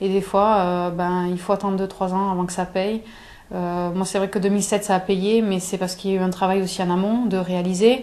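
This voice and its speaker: A woman with a southern French accent, her medium-pitched voice dark and mellow, fairly quick and flat in a monotone. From southern France, Aveyron (Espalion). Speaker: athlete. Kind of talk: interview. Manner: halting, many fillers and repetitions.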